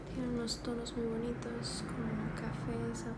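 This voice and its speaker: There is loud background noise behind a woman speaking. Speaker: ASMR content creator. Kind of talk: whispered ASMR haul, hushed show-and-tell of purchases. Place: home room. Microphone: phone near.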